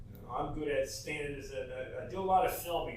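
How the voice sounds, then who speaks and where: A man with an American accent talks in a space with audible room echo. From New Jersey. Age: 70s. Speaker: local resident sharing memories. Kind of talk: casual chat. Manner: halting.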